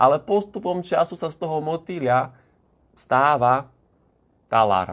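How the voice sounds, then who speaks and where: An animated man with fairly high pitch, lively intonation, big swings in loudness, a fairly slow pace, and long, frequent pauses. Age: 20s. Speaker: motivational vlogger and business owner. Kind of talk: motivational video monologue. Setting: holiday accommodation in the Tatras.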